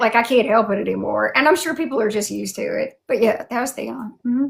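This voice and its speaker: With a strong Southern accent, a woman talks in an animated tone at a fairly quick pace. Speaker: YouTube fantasy channel host and cosplayer. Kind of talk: casual interview chat. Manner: animated, many fillers.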